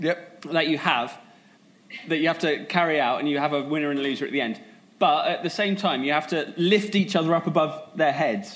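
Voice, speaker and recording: A man with a southern English accent, fairly high in pitch, with ordinary pitch variation and a fairly quick pace. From Sussex, England.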